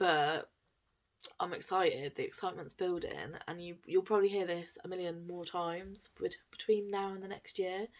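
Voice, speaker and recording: In a very clean recording with a silent background, a woman of medium pitch speaks with an English accent. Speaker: cross-stitch vlogger. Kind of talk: casual vlog chat. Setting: home, camera on tripod. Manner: soft-spoken.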